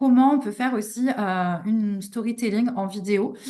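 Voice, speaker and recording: A woman speaks with a somewhat breathy, dark, mellow tone at a fairly high pitch, with ordinary pitch variation. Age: 30s. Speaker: online business coach. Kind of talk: live online workshop. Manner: hesitant, many fillers.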